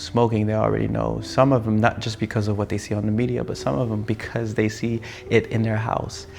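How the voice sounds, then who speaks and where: A fairly low-pitched man with an American accent at a moderate pace, with noticeable background noise. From France and United States. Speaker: filmmaker. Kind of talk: personal reflection monologue. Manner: animated.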